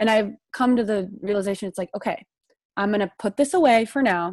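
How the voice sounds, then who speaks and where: A woman speaks at a fairly quick pace in a Midwestern American accent. Her pitch sits in the medium range. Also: dry, close sound with no echo. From US Midwest, southern Illinois. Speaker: graduate student. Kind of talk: casual chat.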